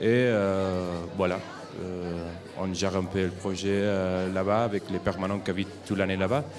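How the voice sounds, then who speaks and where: A man with a very deep, low voice speaks at a moderate pace in a Spanish accent, his intonation fairly even. Music plays in the background, and room echo is audible. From Spain, Barcelona area. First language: Spanish or Catalan (speaking French). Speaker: European volunteer. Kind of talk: interview at a school forum. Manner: hesitant, many fillers.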